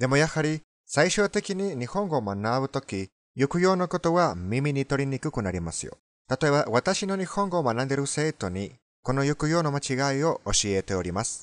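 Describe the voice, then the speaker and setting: A man with a non-native accent speaks at a moderate pace and fairly high pitch, swinging his pitch very widely. The sound is dry with no echo, and the background is quiet. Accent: foreign accent in Japanese. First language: Spanish (speaking Japanese). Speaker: language teacher. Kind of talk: tutorial. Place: car. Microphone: phone near.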